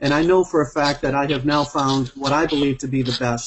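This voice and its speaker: The speech moves at a fairly quick pace in a Boston accent. Intonation stays monotone and flat. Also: man. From Massachusetts (Braintree, near Boston). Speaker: network marketing executive. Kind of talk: testimonial on group video call. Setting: video call.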